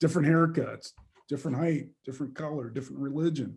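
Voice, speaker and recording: This man's voice sits fairly high in pitch and is somewhat breathy. His tone is dark and mellow. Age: 50s. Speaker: leadership coach and diversity speaker. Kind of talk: webinar Q&A answer. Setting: video call. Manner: conversational, with frequent fillers and repetitions.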